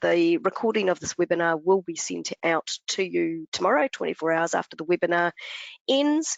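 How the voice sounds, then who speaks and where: A woman speaks with a New Zealand accent. Her pace is moderate. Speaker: brand manager presenting to business partners. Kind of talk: webinar Q&A wrap-up. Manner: casual with many filler ums.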